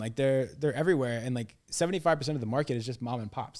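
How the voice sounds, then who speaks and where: This man has a plain, everyday voice, medium in pitch and with ordinary pitch variation. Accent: American. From US Midwest (Illinois). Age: 20s. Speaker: sales trainer. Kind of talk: podcast interview. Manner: casual, filler-heavy.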